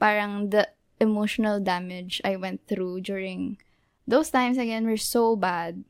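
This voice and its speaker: A woman with an unremarkable speaking voice, medium pitch, fairly even intonation, and a fairly slow pace. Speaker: podcast co-host. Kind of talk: casual chat.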